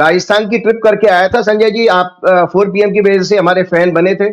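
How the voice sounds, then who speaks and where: At a moderate pace, a man with a high pitch speaks in a monotone, flat way with very even loudness. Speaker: astrologer. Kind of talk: interview.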